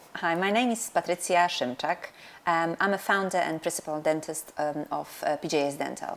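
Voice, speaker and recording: A woman's fairly low voice in a Polish accent, at a moderate pace with ordinary pitch variation. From Poland. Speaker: dentist and practice owner. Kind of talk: interview. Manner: halting, many fillers.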